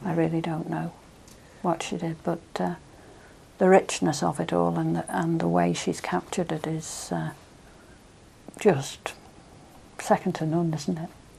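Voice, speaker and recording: With a Manx accent, a woman talks at a fairly slow pace with long, frequent pauses. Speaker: interviewee. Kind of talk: oral history interview.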